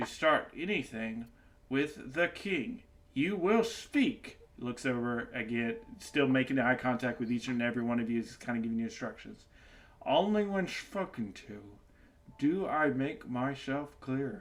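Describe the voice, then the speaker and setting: This man adopts a put-on character voice, fairly high in pitch. His delivery is fairly slow. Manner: stern, giving orders.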